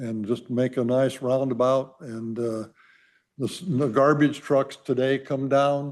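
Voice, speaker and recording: A man at medium pitch and a fairly slow pace, with monotone, flat intonation. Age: 80s+. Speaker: resident speaking at public hearing. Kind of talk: public comment. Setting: city council meeting. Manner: halting.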